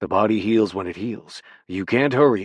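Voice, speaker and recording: A man's put-on character voice, raspy and fairly low, at a moderate pace with big swings in loudness, over a quiet background. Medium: read story. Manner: calm, patient.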